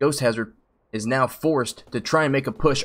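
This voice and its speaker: A man speaks with a fairly high pitch. His pitch varies in an ordinary way. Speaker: esports shoutcaster. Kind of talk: live commentary. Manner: loud; animated.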